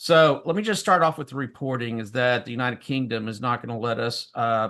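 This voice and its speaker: A man with a Southern US accent, medium pitch, and a quiet background. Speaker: political talk show co-host. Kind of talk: political commentary. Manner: hesitant, many fillers.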